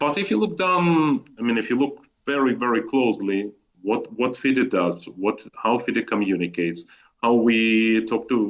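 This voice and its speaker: With a Russian accent, a man speaks at a fairly slow pace and a medium pitch, his voice making very wide pitch swings. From Azerbaijan, Baku (Soviet Union). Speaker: chess federation executive. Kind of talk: interview. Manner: animated, repetitive false starts.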